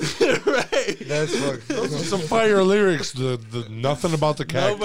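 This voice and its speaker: Over noticeable background noise, a man speaks very slowly in a fairly high pitch. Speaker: podcast host. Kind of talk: casual slang, heavy profanity.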